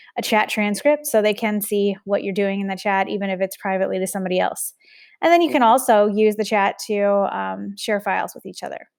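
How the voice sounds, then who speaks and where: In an ordinary speaking voice at medium pitch, a woman talks at a fairly quick pace with ordinary pitch variation and big swings in loudness, on a very clean recording with a silent background. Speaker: teacher. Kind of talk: tutorial. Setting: screen recording.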